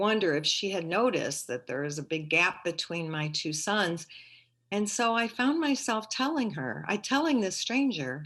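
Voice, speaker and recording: A woman in a Midwestern American accent, medium-pitched with very wide pitch swings, at a fairly slow pace against a quiet background. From St. Louis, Missouri. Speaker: retired teacher and librarian, storyteller. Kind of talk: live personal storytelling performance. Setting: video call.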